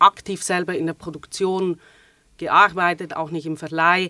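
A woman with a Swiss German accent speaks at a fairly low pitch in a bright, sharp tone, with a dry, close sound and no echo. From Switzerland. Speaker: theater manager. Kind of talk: casual interview.

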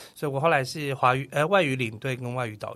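A man's medium-pitched voice, bright and sharp in tone, in a Taiwanese accent. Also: very clean recording, silent background. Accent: Taiwanese Mandarin. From Taiwan, Kaohsiung. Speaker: tour leader and travel agent. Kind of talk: casual interview. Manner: clear standard diction.

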